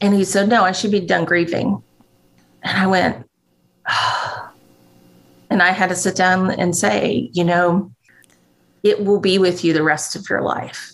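The speech has vocal fry and fairly even intonation, moving at a fairly slow pace with long, frequent pauses. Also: woman, medium pitch for a woman. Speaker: grief ministry program director. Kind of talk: casual chat.

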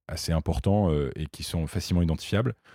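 A man speaks at a very deep, low pitch in a dark, mellow tone, with ordinary pitch variation and a moderate pace. The recording is very clean with a silent background, and the sound is dry and close with no echo. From northern France. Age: 20s. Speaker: YouTuber and entrepreneur. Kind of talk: interview. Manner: halting, many fillers and repetitions.

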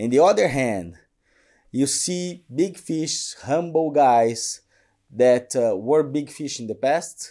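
Very slowly, a man with a Portuguese accent speaks in a dark, mellow tone with lively intonation. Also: fairly high pitch for a man, very clean recording, silent background. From Brazil, São Paulo. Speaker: colorectal surgeon. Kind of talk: interview. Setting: studio.

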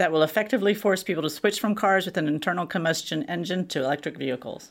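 Using a normal speaking voice, a woman with an American accent talks at a fairly quick pace and fairly low pitch in a very clean recording with a silent background. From Texas. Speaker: mobility correspondent. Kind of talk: scripted explainer dialogue.

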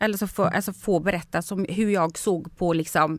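At a moderate pace, a woman speaks. Her pitch variation is ordinary. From Sweden. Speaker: TV personality. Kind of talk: casual chat. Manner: animated.

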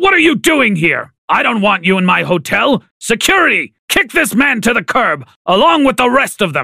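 Using a put-on character voice, the speaker has a bright, sharp tone with a slightly husky edge, vocal fry, big pitch swings and a moderate pace. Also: man, extremely high pitch for a man.

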